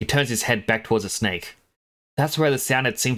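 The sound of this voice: Quiet background, with an unforced reading voice.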